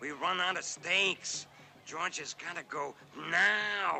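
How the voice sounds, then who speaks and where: A man speaks in a cartoonish character voice, pitched high. His pace is fairly slow, with lively intonation. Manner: blunt, matter-of-fact.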